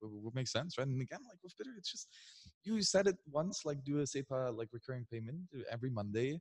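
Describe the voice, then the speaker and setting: In a quiet background, a man at medium pitch talks at a fairly quick pace with lively intonation, big swings in loudness and a somewhat breathy sound. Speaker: interviewer. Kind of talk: casual interview. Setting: conference venue, on camera. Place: meeting room. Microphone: handheld.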